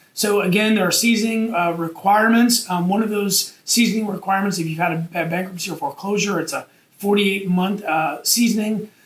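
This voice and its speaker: A man with a high pitch speaks with fairly even intonation over noticeable background noise. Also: fairly quick pace. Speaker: real estate investor. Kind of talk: tutorial. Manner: fast; casual with many fillers.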